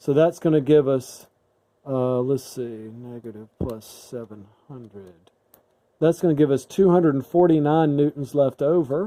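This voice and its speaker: With a normal speaking voice, a man talks at a fairly slow pace, his pitch fairly high for a man and varying in an ordinary way. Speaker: physics teacher. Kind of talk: tutorial.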